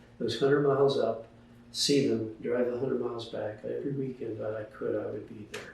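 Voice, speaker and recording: The voice moves at a moderate pace. Audible room echo can be heard. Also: man. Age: 80s+. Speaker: author and retired scientist. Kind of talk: casual interview, personal story. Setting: at home.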